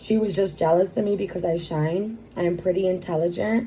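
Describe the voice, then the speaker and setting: A woman speaks at a moderate pace and medium pitch, with ordinary pitch variation and a dark, mellow tone. Her voice is somewhat breathy, and room echo is audible. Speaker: vlogger describing a legal claim. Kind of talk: personal monologue reading from court papers. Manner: halting with fillers.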